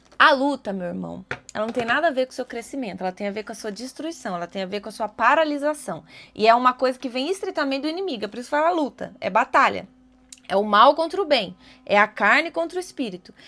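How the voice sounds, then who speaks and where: A high-pitched woman speaks at a very fast pace in a bright, sharp, animated tone, with very wide pitch swings and big swings in loudness, on a very clean recording with a silent background. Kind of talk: devotional video talk.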